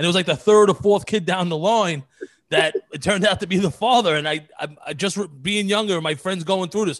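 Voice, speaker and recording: A man in a Brooklyn accent at a fairly quick pace, with ordinary pitch variation, against a quiet background. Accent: New York (Brooklyn). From New York, Brooklyn (Marine Park). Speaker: podcast co-host and comedian. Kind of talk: casual chat.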